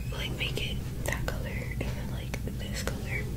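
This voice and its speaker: A woman's whispering at a moderate pace. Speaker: ASMR gaming content creator. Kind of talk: casual ASMR let's play commentary.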